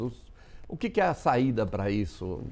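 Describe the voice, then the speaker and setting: Very wide pitch swings and vocal fry in a man's dark, mellow voice. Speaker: TV news host. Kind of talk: TV studio interview questions. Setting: studio.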